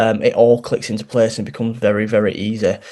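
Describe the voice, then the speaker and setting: In a strong Yorkshire accent, the speaker talks at a fairly quick pace with monotone, flat intonation. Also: man. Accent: thick Yorkshire. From Yorkshire, northern England. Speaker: barbering course founder and barber. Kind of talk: interview.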